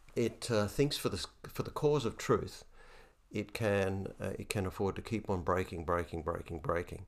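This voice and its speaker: A man with an Australian accent talks at a moderate pace in a fairly low pitch, with ordinary pitch variation. The recording is very clean, with a silent background. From Australia, Hunter Valley, New South Wales. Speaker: retired bishop and theologian. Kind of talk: interview conversation. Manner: hesitant, many fillers.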